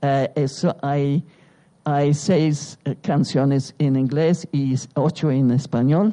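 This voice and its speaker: Very deep and low in pitch, a woman speaks very slowly with a dark, mellow tone, fairly even intonation, and very even loudness. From England, London. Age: 80s+. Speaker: artist and writer. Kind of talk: public conversation. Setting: stage with audience.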